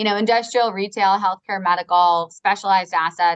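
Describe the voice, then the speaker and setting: A woman speaks with a Long Island accent. Her pace is fairly quick. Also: dry, close sound with no echo. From US Northeast (Long Island, New York). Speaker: real estate advisory firm co-founder. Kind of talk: podcast interview. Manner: casual, filler-heavy (like, you know).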